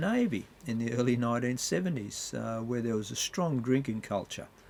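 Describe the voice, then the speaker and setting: A man speaks with an Australian accent. His pitch is medium and his pace moderate. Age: 70s. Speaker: retired paramedic. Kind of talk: informal health talk.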